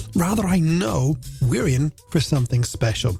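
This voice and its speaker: A man speaks with music playing in the background. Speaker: radio presenter, voice actor. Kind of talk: late-night radio show presenting. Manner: warm, relaxed, friendly.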